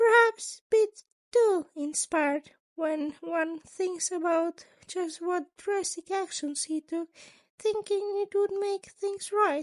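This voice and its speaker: Put-on character voice from a woman, pitched extremely high and delivered at a fairly slow pace. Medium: read story. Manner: polite, formal, long-winded.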